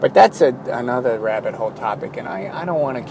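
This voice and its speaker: Speaking very fast, a man keeps a medium pitch and ordinary pitch variation while noticeable background noise carries on. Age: 40s. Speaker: artist keeping an audio journal. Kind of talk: personal audio journal monologue. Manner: halting, with many fillers and restarts.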